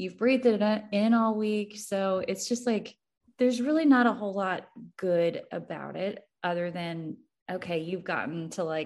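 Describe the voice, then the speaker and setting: Over a quiet background, a woman with an ordinary speaking voice talks at a moderate pace and medium pitch, with ordinary pitch variation. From Missouri. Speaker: entrepreneur. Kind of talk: casual chat.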